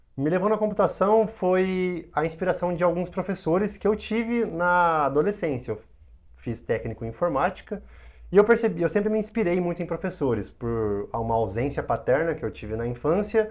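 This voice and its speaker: Very wide pitch swings run through speech at a moderate pace over a quiet background. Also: man, high pitch for a man. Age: 20s. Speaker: hypnotherapist. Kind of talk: interview.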